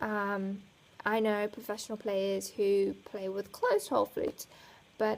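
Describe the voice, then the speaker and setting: A woman talks at a medium pitch. She has a slight South African accent. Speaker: flutist vlogger. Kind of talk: casual chat.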